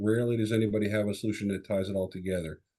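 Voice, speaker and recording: A man with a Chicago accent talks at a very fast pace, with medium pitch, a dark, mellow tone, and fairly even intonation. The background is quiet. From Chicago area, US Midwest. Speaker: tech sales executive. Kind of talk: podcast interview.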